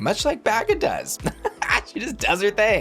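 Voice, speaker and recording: A put-on character voice, fairly high and cackling, at a moderate pace with music in the background. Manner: camp, gleeful.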